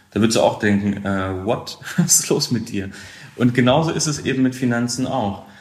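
Heard with audible room echo, a man talks at a medium pitch with ordinary pitch variation. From Lower Saxony, Weserbergland. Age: 30s. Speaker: financial advisor. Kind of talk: casual interview. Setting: home office video call.

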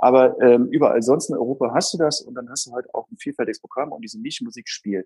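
A man rattles along at a very fast pace with hardly any pauses, the sound dry and close with no echo. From Saarland, Germany. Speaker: booking agent. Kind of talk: interview. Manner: hesitant, many fillers.

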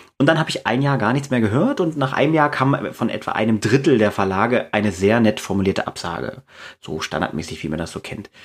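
Talking at a very fast pace, a man of medium pitch makes very wide pitch swings. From East Germany. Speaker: fantasy author and teacher. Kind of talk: interview. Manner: hesitant, with many fillers.

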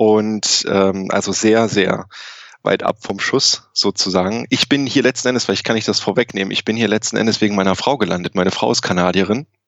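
A man with a plain, everyday voice speaks at a fairly quick pace, fairly low in pitch, with ordinary pitch variation and very even loudness. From Germany, grew up in Saarland. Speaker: physician and tech company co-founder. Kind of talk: interview. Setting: remote call from Canada.

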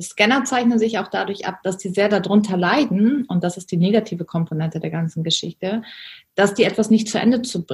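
A woman talks at a fairly quick pace with a medium pitch. Her voice is somewhat breathy, with ordinary pitch variation. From Germany. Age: 30s. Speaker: business coach. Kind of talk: interview.

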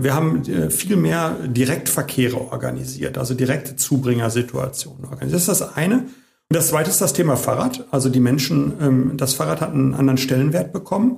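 Very wide pitch swings at a fairly quick pace. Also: man, medium pitch for a man. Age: 50s. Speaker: mayor. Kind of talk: interview. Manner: hesitant fillers.

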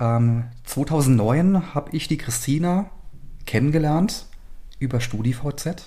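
A man speaks very slowly, with long, frequent pauses. His voice is fairly high in pitch, somewhat breathy, and dark and mellow in tone. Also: ordinary pitch variation. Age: 30s. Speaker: fashion brand owner. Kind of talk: casual interview. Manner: hesitant with frequent fillers.

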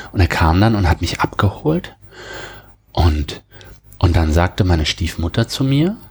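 A man speaks with a very deep, low pitch and lively intonation. His voice is somewhat breathy. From Germany, near the French border. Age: 40s. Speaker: software and cloud specialist. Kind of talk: interview about personal burnout experience. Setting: studio, sitting across from the host.

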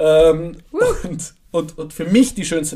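A high-pitched man with a dark, mellow tone. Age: 20s. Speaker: podcast co-host. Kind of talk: casual chat.

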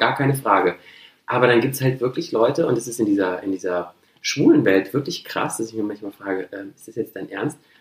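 A man with a normal speaking voice talks at medium pitch and a fairly quick pace. His pitch variation is ordinary, with big swings in loudness. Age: 30s. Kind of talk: casual chat.

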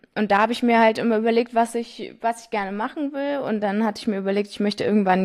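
Speaking very fast, a woman uses a fairly high-pitched voice. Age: 20s. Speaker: young family business successor. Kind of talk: interview.

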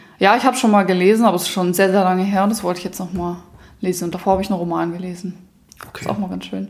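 Speaking at a very fast pace, a woman with medium pitch keeps her intonation fairly even while her loudness swings widely. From southern Germany, Allgäu. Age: 20s. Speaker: company co-founder. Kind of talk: casual chat.

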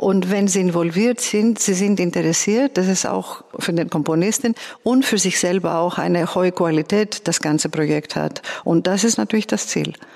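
Someone speaks at a moderate pace with a Greek accent, with noticeable background noise behind them. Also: woman, medium pitch for a woman, ordinary pitch variation, very even loudness. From Greece, Athens. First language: Greek (speaking German). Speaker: composer and conductor. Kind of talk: interview. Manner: somewhat halting.

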